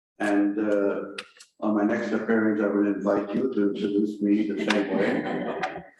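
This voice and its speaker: Audible room echo surrounds a man with a French accent and a fairly low pitch. His intonation is monotone and flat, and his pace fairly slow. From Belgium. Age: 80s+. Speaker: historian. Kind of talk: lecture.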